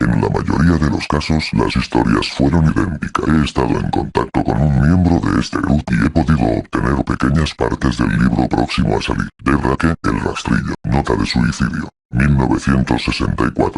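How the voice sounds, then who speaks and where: At a moderate pace, the speaker performs. The voice is a put-on character voice. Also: man, very deep, low pitch for a man. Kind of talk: horror narration. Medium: read story.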